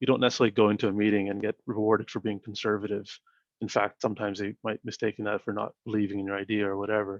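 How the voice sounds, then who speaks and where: Soft-spoken and monotone with flat intonation, a man with a Canadian accent speaks at a very fast pace in a fairly low pitch. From Canada. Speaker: startup founder and CEO. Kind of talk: interview. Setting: video call. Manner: even-keeled.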